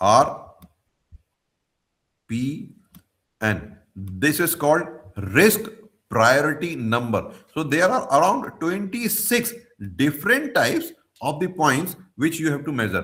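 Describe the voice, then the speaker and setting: A man with a fairly high pitch uses very wide pitch swings and vocal fry, leaving long, frequent pauses. Audible room echo surrounds his voice. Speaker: professor of mechanical engineering. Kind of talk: lecture. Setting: video call. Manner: halting.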